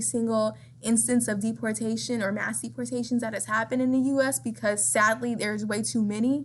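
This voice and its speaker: A woman's fairly quick speech over noticeable background noise. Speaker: teacher. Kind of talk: recorded lecture. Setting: screen recording. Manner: fast; casual.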